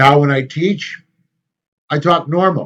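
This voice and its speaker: A man with a fairly high-pitched voice. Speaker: teacher. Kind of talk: lecture. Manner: loud; casual, with filler words.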